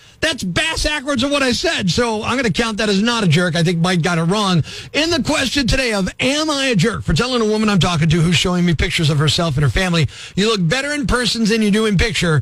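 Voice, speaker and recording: A man's high-pitched voice at a very fast pace, with very wide pitch swings and very even loudness, plus audible room echo and noticeable background noise. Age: 50s. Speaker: radio host. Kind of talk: radio call-in segment.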